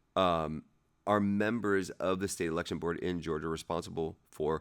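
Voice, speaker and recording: A man talks at a moderate pace. His very deep, low voice has ordinary pitch variation. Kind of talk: casual read-aloud of a legal document. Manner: halting, stumbling over words.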